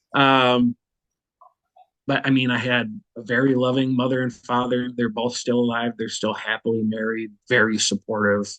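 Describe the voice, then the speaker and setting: A man with an American accent, monotone, flat intonation, and a dry, close sound with no echo. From Minnesota, US Midwest. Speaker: war veteran. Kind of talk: testimony. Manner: casual, with fillers.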